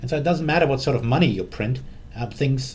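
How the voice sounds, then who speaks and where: A man speaks with a German accent and lively intonation, sounding somewhat breathy. Audible room echo surrounds his voice. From Germany. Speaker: currency fund manager. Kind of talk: interview.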